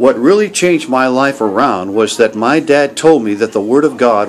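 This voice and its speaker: The delivery moves at a moderate pace with lively intonation. Light background noise is present. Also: man. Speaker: missionary evangelist. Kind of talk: personal religious testimony. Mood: earnest, grateful. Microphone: webcam.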